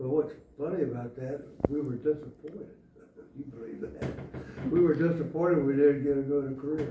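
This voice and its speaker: This man's fairly high voice comes through with audible room echo and noticeable noise in the background. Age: 90s. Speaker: Marine Corps veteran. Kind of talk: oral history interview. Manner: halting.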